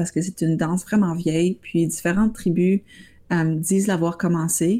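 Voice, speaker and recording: There's a somewhat breathy quality here. The tone sounds dark and mellow. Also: woman. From Ottawa, Ontario (Franco-Ontarian). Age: young. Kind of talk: interview.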